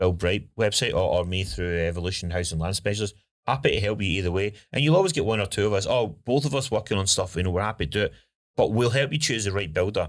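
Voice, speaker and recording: A man with a Scottish accent talks at a very fast pace and a fairly low pitch. His intonation is lively, and the recording is very clean with a silent background. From Scotland. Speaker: home building consultant and podcast host. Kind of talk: casual podcast chat.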